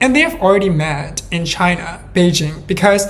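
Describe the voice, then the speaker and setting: Heard through audible room echo and noticeable background noise, a woman speaks with a fairly low pitch. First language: not English. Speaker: true crime podcaster. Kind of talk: storytelling narration. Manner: hesitant, with fillers.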